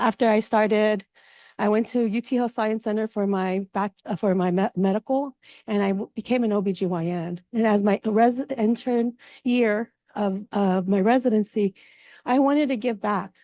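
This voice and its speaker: At a moderate pace, a woman with a dark, mellow tone speaks with fairly even intonation in a dry, close sound with no echo. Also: fairly high pitch for a woman. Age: 50s. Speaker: physician. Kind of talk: symposium talk.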